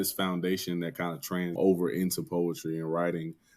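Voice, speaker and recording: A man with an American accent talks at a moderate pace in a dark, mellow tone. The recording is very clean, with a silent background. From Dayton, Ohio. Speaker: poet and spoken word artist. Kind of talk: interview conversation. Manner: casual, with many fillers.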